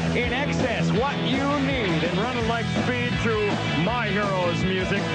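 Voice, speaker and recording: Loud music plays in the background while a man speaks at a fairly slow pace. The sound is dry with no echo. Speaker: radio DJ. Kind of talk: radio aircheck, music station DJ patter. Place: studio. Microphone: studio mic.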